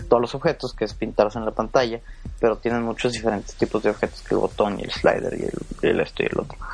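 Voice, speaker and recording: Someone talks at a very fast pace. Background noise is noticeable. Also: man. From Mexico, Monterrey (Nuevo León). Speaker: software engineer. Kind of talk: podcast interview. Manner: halting.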